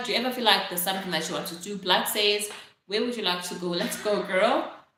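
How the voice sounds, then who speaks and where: The woman here speaks at a very fast pace with ordinary pitch variation. There is audible room echo. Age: 20s. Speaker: live streamer. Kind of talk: casual live stream chat. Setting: live stream. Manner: chatty, filler-heavy.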